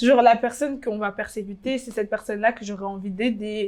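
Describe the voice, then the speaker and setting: Her pitch fairly high and her intonation fairly even, a woman speaks at a fairly quick pace. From DR Congo. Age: 20s. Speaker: fashion blogger. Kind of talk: interview. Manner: hesitant.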